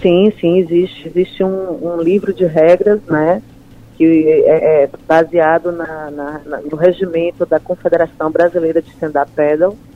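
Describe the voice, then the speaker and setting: A woman at a fairly low pitch, fairly slow, with fairly even intonation. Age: 50s. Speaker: amateur stand-up paddle champion. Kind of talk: interview. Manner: halting, many fillers.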